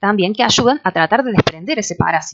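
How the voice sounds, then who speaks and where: The woman rushes along at a very fast pace, her pitch varying in an ordinary way. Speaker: university lecturer. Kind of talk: lecture. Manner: hesitant, many fillers.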